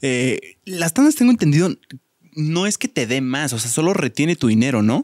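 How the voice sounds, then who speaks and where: Dry sound with no echo and a quiet background, a man with a Mexican accent, fairly high pitch, very wide pitch swings and a moderate pace. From Mexico. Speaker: podcast host. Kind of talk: casual chat. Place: studio. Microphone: studio mic.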